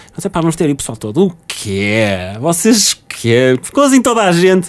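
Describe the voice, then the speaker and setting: A man's high-pitched voice with very wide pitch swings, at a moderate pace, amid noticeable background noise. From Portugal, Porto. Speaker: recently graduated software engineer, former student radio host. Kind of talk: casual interview.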